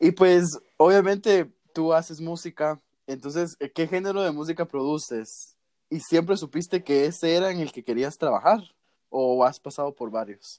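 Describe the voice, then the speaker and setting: This man speaks with a high pitch. The recording is dry and close, with no echo. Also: ordinary pitch variation, moderate pace. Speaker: podcast host. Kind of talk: casual interview. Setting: remote call.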